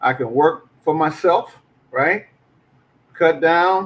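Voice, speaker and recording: A man speaks with an American accent. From US South, Arkansas. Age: 60s. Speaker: podcast co-host and teacher. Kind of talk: casual discussion podcast.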